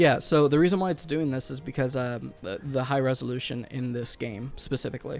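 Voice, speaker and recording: Male speech with ordinary pitch variation and hardly any pauses, music playing in the background. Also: medium pitch for a man, fairly quick pace. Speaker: gaming video co-host. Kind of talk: casual chat. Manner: hesitant, many fillers.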